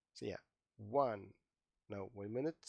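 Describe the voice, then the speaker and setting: A man speaks with a non-native accent. His medium pitch shows ordinary pitch variation. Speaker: IT trainer. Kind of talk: tutorial. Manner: animated.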